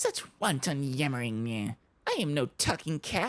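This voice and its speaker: A put-on character voice at a low-to-middle pitch and a fairly slow pace. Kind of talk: archaic, formal. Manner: haughty, offended.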